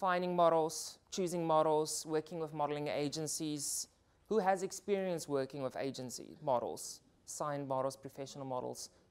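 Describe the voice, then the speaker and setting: Her intonation fairly even, a woman speaks with a very deep, low pitch. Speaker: portrait and beauty photographer. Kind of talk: workshop talk. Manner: fast.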